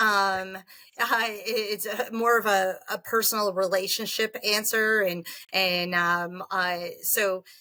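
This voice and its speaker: Loud and at a very slow pace, a woman speaks with a bright, sharp tone and ordinary pitch variation. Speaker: franchise development executive. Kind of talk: interview. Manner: animated.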